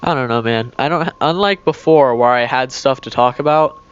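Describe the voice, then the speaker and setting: A man speaks at a fairly slow pace with ordinary pitch variation. Noticeable background noise is present in the recording. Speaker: gaming youtuber. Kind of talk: gameplay commentary. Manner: slurs words together; hesitant, filler-heavy.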